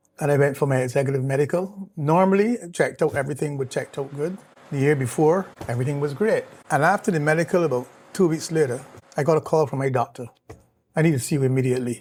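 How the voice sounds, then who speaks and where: A man with a fairly high pitch talks at a very fast pace, his voice somewhat breathy and his pitch variation ordinary. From Barbados. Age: 60s. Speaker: cancer survivor, retired executive. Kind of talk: interview testimony. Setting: in person, Barbados.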